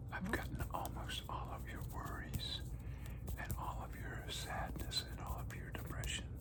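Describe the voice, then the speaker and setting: A man whispering at a fairly slow pace over noticeable background noise. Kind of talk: ASMR personal attention roleplay. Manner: soft-spoken; slow, calm.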